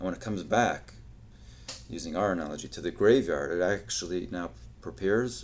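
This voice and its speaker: A man's very deep, low voice with vocal fry, very wide pitch swings, big swings in loudness, a fairly quick pace and audible room echo. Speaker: podcast host. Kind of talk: solo podcast monologue. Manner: halting, stuttering.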